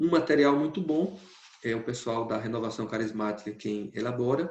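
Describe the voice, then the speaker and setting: Here a man talks at a moderate pace. His medium pitch has ordinary variation. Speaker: priest giving a talk. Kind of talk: lecture.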